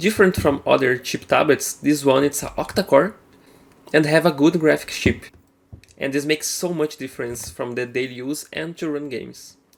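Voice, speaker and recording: The speaker has a Brazilian accent. The pace is moderate. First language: Portuguese. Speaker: gaming tech youtuber. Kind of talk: product review. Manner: casual, slightly halting.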